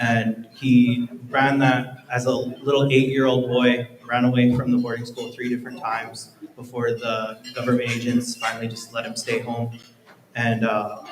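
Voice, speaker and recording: With an American accent, a man speaks at a moderate pace in a flat monotone. Noticeable background noise runs under his voice. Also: medium pitch for a man. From northeastern Montana. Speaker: photographer and reporter. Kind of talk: panel talk.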